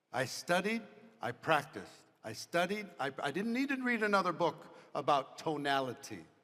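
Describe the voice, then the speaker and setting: This man has a bright, sharp tone. His intonation is lively. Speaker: motivational speaker, business leader. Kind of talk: motivational talk with audience Q&A.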